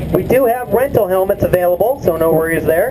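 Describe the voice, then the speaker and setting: There is noticeable background noise. A man talks at a moderate pace. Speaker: event announcer. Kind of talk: commentary.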